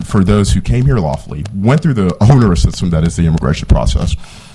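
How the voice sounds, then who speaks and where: Pitch swings are very wide. Noticeable background noise runs throughout. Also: man. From Haiti. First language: Haitian Creole or French. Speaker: policy advocate testifying at hearing. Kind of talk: committee testimony. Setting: state senate committee hearing.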